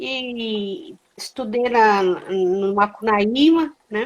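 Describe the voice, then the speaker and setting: A woman speaks with ordinary pitch variation. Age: 60s. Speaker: librarian, journalist and theatre actress. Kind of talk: casual interview chat.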